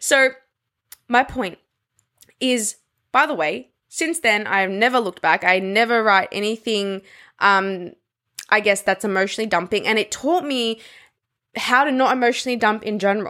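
A woman with a fairly high, bright, sharp voice speaks in an enthusiastic tone with ordinary pitch variation. She leaves long, frequent pauses, and the recording is very clean with a silent background. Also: moderate pace. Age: 20s. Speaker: podcast host. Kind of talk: solo self-help monologue. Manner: casual, enthusiastic.

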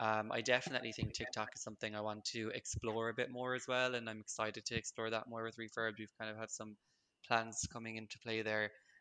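A man's medium-pitched voice with a Limerick accent, bright and sharp in tone, monotone and flat, at a very fast pace. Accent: Irish (Limerick). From Ireland, Limerick. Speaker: marketing manager. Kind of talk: interview.

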